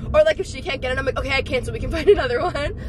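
Noticeable background noise surrounds a woman whose voice sounds dry, with no echo. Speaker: vlogger. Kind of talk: casual vlog chat. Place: car. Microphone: phone near.

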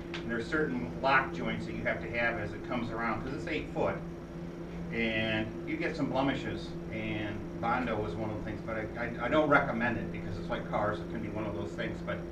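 A man speaks at a fairly quick pace. Loud background noise runs behind him. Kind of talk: informal talk to a small group. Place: home room. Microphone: camera far.

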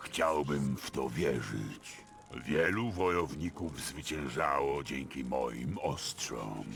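A man puts on a character voice at a fairly slow pace. Clear background noise runs behind him. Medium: machinima. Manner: gruff, curt.

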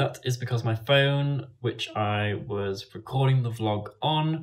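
Over a quiet background, a man speaks at a fairly slow pace. His voice is somewhat breathy. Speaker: travel vlogger. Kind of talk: casual vlog chat. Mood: calm, slightly rueful. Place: home room. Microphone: phone near.

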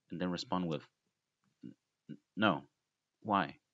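A man is speaking. He has a non-native accent. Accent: heavy non-native. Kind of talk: casual history explainer narration.

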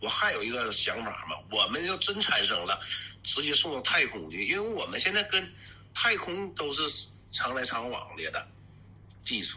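A man talks at a moderate pace. He has a Northeastern Chinese accent. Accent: Northeastern Mandarin. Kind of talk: street interview talk.

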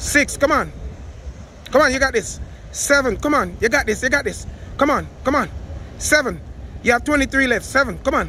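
A man speaks at a moderate pace, leaving long, frequent pauses. The sound is dry with no echo, and there is light background noise. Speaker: workout coach. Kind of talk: motivational coaching and counting reps. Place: street.

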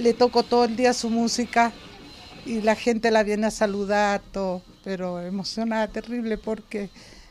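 A woman speaks at a moderate pace in a fairly high pitch, with monotone, flat intonation. Light background noise sits under her voice. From northern Chile. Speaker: devout local resident. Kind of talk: interview. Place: garden.

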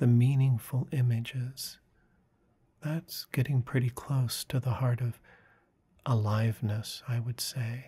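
Soft-spoken and somewhat breathy, a man uses a calm, dark, mellow tone at a medium pitch, speaking at a fairly slow pace with fairly even intonation and long, frequent pauses. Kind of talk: guided meditation talk about inner imagery. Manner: soft-spoken, calm.

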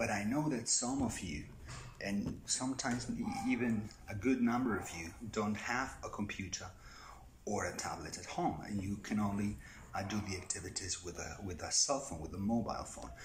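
A man's fairly low voice at a moderate pace, with light background noise. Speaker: primary school teacher. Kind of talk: tutorial. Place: garden. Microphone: phone near.

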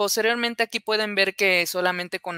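A woman speaks in a bright, sharp tone with fairly even intonation. The sound is dry with no echo, and the background is quiet. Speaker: software engineer; presenter. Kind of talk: conference presentation. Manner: hesitant, many fillers. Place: home room. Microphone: webcam.

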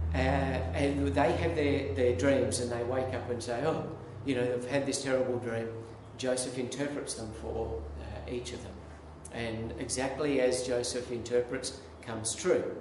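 Amid noticeable background noise and audible room echo, a man talks at a fairly slow pace with lively intonation. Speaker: minister preaching. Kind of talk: sermon. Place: church.

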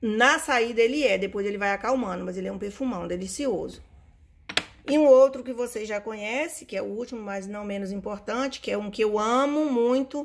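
A woman talking at a fairly quick pace with ordinary pitch variation. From Brazil. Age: 50s. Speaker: perfume reviewer. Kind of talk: casual vlog review. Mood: enthusiastic, fond. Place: home room. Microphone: phone near.

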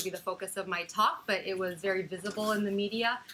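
A woman is talking here. Her pace is fairly quick. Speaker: speaker. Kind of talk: lecture. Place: meeting room.

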